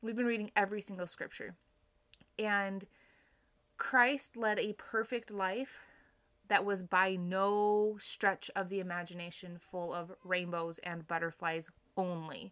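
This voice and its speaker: A woman talks at a fairly slow pace with long, frequent pauses and a bright, sharp tone, on a very clean recording with a silent background. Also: medium pitch for a woman, fairly even intonation. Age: 30s. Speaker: religious podcast host. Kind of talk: devotional scripture study monologue. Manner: casual, with frequent fillers.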